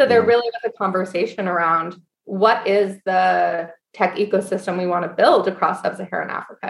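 A woman speaks in an ordinary speaking voice at medium pitch. She keeps a fairly quick pace with ordinary pitch variation. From US Northeast, Syracuse, New York. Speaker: cooperative co-founder. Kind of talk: interview conversation.

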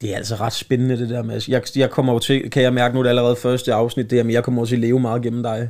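A man speaks very fast with hardly any pauses. His intonation is monotone and flat. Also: medium pitch for a man. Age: 30s. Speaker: comedian and podcast host. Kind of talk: casual chat.

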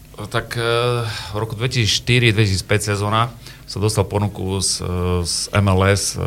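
A man with a plain, everyday voice talks at a fairly slow pace with a fairly low pitch and fairly even intonation. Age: 40s. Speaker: football coach. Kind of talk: radio interview. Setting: radio studio.

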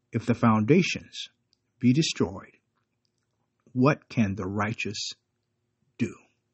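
A man speaks at a medium pitch, somewhat breathy. He goes very slowly, with long, frequent pauses. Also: ordinary pitch variation. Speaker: preacher. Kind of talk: short devotional sermon with fervent prayer at the close. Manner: earnest, fervent, preacherly; halting, repeats words.

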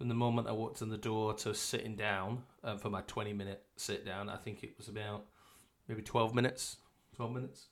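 With a British accent, this man talks at a fairly quick pace in a fairly low pitch, his intonation monotone and flat. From UK. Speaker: podcast co-host. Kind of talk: casual chat.

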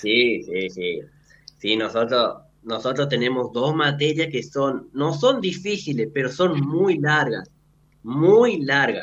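Very slowly and with lively intonation, a man speaks at a fairly high pitch with vocal fry. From Argentina, Santiago del Estero (Frías). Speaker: medical student. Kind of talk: radio interview. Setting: remote link into radio studio.

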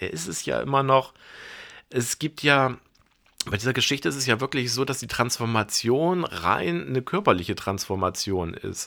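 Over a very clean recording with a silent background, a man talks at a moderate pace. His medium-pitched voice has a bright, sharp tone and very wide pitch swings. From Bremen, northern Germany. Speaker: film curator and film journalist. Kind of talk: casual film discussion podcast.

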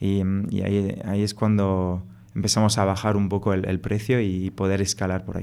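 A man with a French accent speaks at a moderate pace in a dark, mellow tone, fairly low in pitch and with monotone, flat intonation. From France. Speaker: startup co-founder. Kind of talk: interview conversation.

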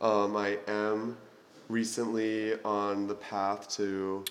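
A man talks at a fairly low pitch in a monotone, flat intonation. Audible room echo surrounds the voice. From Arizona. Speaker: college student. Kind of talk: casual chat.

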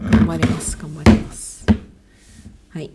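A woman is heard over noticeable background noise. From Sendai, Japan. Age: 20s. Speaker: medical student, podcast co-host. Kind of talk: casual chat.

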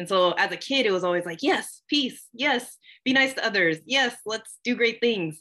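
At a moderate pace, a woman with a fairly high pitch sounds energetic, her tone bright and sharp and her intonation lively. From Southern California. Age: 20s. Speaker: nonprofit program assistant and poet. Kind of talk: podcast interview.

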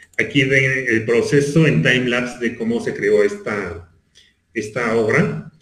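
Under audible room echo, a man with vocal fry and medium pitch speaks at a fairly slow pace with lively intonation. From Mexico City. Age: 40s. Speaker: visual artist. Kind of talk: casual chat.

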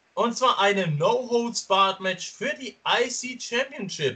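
Projected and raised, a man's voice carries a bright, sharp tone. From Stuttgart, Germany. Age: 20s. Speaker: wrestling podcast host. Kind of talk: casual chat. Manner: loud at times.

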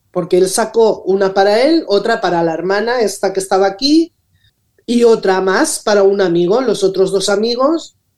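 This is an unremarkable speaking voice with lively intonation, moving at a moderate pace. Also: woman. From Valencia region, Spain (Rocafort). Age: 60s. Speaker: social media influencer. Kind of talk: radio interview.

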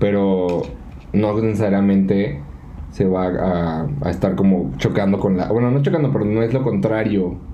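A man at very even loudness, with audible room echo and noticeable background noise. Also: fairly low pitch for a man, ordinary pitch variation, moderate pace. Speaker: podcast co-host. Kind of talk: casual chat; outro.

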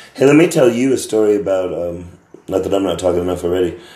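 A man's dark, mellow tone with audible room echo. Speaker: podcast host. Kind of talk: casual chat. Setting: apartment.

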